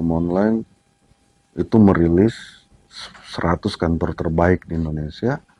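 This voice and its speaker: A man with a very deep, low pitch and a dark, mellow tone speaks at a fairly slow pace. His pitch varies ordinarily, and the sound is dry and close with no echo. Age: 30s. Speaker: lawyer, law firm founder. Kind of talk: interview.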